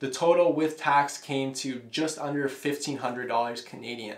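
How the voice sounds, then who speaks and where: A man speaks with ordinary pitch variation. Room echo is audible. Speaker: home gym product reviewer. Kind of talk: casual review monologue. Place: home room.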